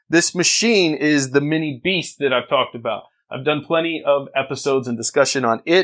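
With a plain, everyday voice, a man speaks at a fairly quick pace, pitched fairly high, with ordinary pitch variation. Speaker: podcast host. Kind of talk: casual podcast chat. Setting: studio.

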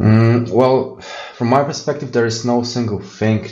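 A man with a Polish accent speaks fairly slowly at a medium pitch. Noticeable background noise and audible room echo surround him. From Poland. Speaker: software architect. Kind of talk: interview.

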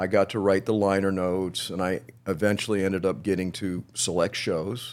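In an American accent, a man with a very deep, low pitch speaks at a moderate pace with fairly even intonation and hardly any pauses, on a very clean recording with a silent background. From Miami, Florida. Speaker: music historian, author and teacher. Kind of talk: casual interview chat.

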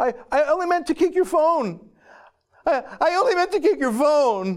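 A man puts on a whiny character voice at an extremely high pitch. He speaks at a moderate pace. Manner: whining, self-pitying.

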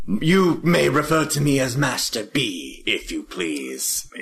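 A man uses a put-on character voice, fairly high in pitch. He goes at a fairly slow pace over light background noise. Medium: actual play. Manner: formal, officious.

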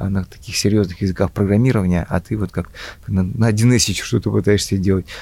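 The man's voice is fairly low, dark and mellow in tone. It sounds somewhat breathy, with ordinary pitch variation. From Russia, Volga region (Mari El). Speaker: IT entrepreneur, company founder. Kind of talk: interview. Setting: business school campus. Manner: halting, repeats words.

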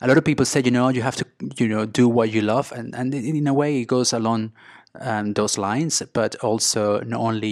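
Someone with a Spanish accent talks at a very fast pace with fairly even intonation, in a dry, close sound with no echo. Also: man. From Venezuela. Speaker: business coach and restaurateur. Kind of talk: interview.

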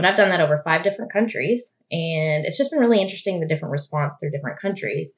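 Speaking at a very fast pace, a woman has a fairly low pitch and a somewhat breathy voice. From Arkansas, Little Rock (army brat, moved around). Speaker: birth photographer. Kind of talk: casual interview.

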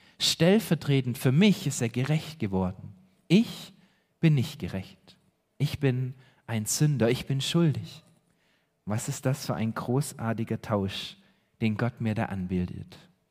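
A man speaks at a medium pitch with lively intonation and a fairly slow pace. He leaves long, frequent pauses in a very clean recording with a silent background. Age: 30s. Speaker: pastor. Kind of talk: sermon. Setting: church. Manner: earnest, preaching; emphatic, repeating key phrases.

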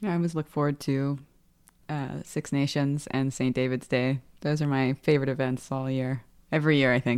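A woman's very deep, low-pitched voice with monotone, flat intonation. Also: moderate pace. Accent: New York. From New York (Westchester). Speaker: lawyer. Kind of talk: casual chat.

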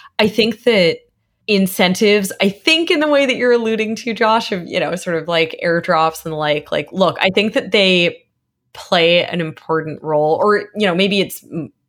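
A plain, everyday voice with lively intonation moves at a moderate pace in a very clean recording with a silent background. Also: woman. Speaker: blockchain expert. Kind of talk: interview, casual chat.

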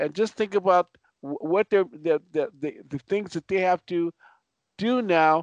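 Ordinary pitch variation, a dry, close sound with no echo and a quiet background. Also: man. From Los Angeles, US West Coast. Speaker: military veteran and former police officer. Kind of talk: panel discussion.

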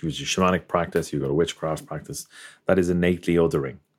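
With an Irish accent, a man speaks in a very deep, low pitch with ordinary pitch variation. The recording is very clean, with a silent background. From Ireland. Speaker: podcast host and photographer. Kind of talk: interview conversation.

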